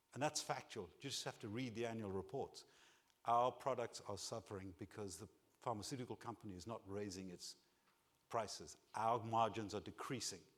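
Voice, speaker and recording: Pitched in the medium range, a man talks with a non-native accent. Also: ordinary pitch variation, moderate pace. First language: not English. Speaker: keynote speaker. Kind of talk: keynote speech. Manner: animated.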